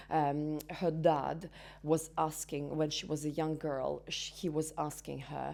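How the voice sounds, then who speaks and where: Very slowly, a woman speaks with a Russian accent. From Belarus. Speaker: entrepreneur and business mentor. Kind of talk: interview. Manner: halting, many fillers.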